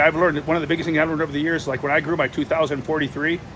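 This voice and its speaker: Fairly high-pitched man, noticeable background noise. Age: 60s. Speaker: giant pumpkin grower, channel host. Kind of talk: casual chat.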